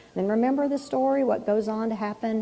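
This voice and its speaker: A woman's speech moves fairly quickly. Background noise is noticeable throughout. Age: 60s. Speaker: pastor. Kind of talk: sermon. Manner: casual, conversational; animated.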